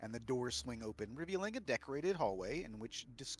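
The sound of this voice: Lively intonation marks the delivery, read in an unforced voice.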